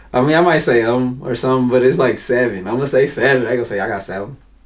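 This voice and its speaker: A medium-pitched man talks at a very fast pace with noticeable background noise behind him. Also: ordinary pitch variation. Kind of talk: casual, conversational. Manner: fast talking, every word fully pronounced.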